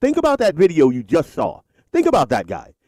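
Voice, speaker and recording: An animated man's voice, recorded with a dry, close sound and no echo. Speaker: political talk show host. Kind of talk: political commentary monologue. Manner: animated, heated.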